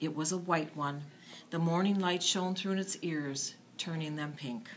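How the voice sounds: At a fairly slow pace, a woman speaks in a low pitch with ordinary pitch variation.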